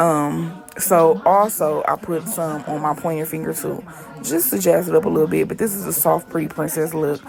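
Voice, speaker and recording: A woman's very deep, low voice over music in the background. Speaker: nail artist. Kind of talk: tutorial voiceover. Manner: dragging.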